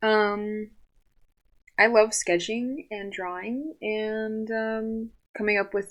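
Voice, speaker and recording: On a very clean recording with a silent background, a woman of medium pitch speaks very slowly with a Californian accent. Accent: Californian American English. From Southern California. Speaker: artist and animator. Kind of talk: casual podcast talk. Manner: hesitant, many fillers.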